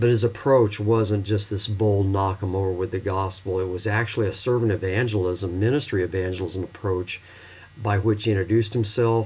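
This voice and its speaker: A man's fairly low, somewhat breathy voice at a fairly quick pace, with fairly even intonation. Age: 60s. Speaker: pastor and instructor. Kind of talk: recorded lecture for online course.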